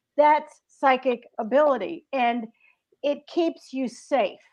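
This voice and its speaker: At a very slow pace, a woman with an American accent speaks in a high pitch with ordinary pitch variation. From US South, Greensboro, North Carolina. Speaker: author. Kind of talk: casual chat.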